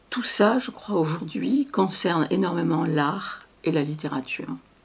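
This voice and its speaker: A woman speaks with a very deep, low pitch and lively intonation. Her voice is somewhat breathy. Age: 70s. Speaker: poet. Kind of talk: interview. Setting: filmed interview. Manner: halting.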